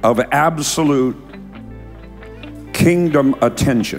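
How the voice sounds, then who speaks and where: A man with an American accent at a very slow pace, faint music in the background. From United States. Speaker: preacher. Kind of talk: sermon, talk to congregation. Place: church. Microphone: handheld.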